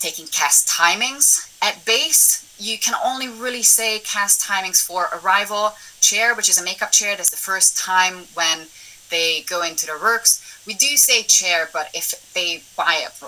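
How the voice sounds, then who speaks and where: Over noticeable background noise, a woman speaks fairly slowly at medium pitch with ordinary pitch variation. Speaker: assistant director. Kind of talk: webinar talk.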